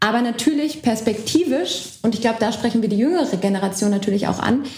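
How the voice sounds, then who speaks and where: A woman's fairly high voice with a dark, mellow tone and audible room echo. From Berlin, Germany. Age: young. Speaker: party lead candidate, politician. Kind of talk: casual political chat. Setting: co-working space, recorded. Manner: hesitant, many fillers.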